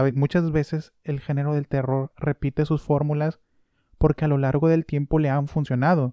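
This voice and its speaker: A man with a fairly high pitch and a dark, mellow tone speaks in a monotone with flat intonation, in a dry, close sound with no echo and a quiet background. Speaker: podcast host. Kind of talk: casual monologue. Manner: calmer than usual, subdued.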